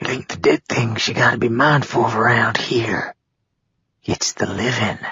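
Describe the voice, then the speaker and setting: Using a put-on character voice, the speaker sounds raspy at a low-to-middle pitch and a moderate pace. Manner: confidential.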